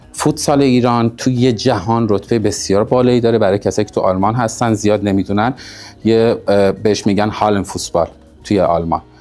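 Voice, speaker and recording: Music plays in the background while a man speaks. He talks very fast with ordinary pitch variation. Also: fairly low pitch for a man. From Iran, Shiraz. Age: 30s. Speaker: insurance and finance consultant, former futsal player. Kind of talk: personal biography talk to camera.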